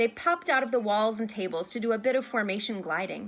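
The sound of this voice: Pitch varies in an ordinary way as an unforced reading voice comes through.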